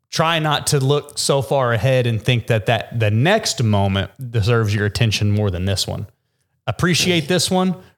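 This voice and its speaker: A man with a normal speaking voice talks at medium pitch and a moderate pace with lively intonation. The recording is very clean, with a silent background. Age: 30s. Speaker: podcast host and gym owner. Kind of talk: casual chat.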